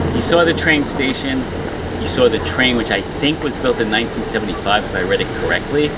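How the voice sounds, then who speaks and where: Loud background noise runs under the speech. A man talks with ordinary pitch variation. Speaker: travel vlogger. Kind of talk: casual vlog chat. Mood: mildly uneasy, summing up. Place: station. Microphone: phone near.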